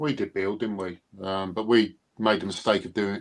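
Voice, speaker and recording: In quiet surroundings, a man talks in a fairly low pitch. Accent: British. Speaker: Elvis fan and collector. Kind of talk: casual chat.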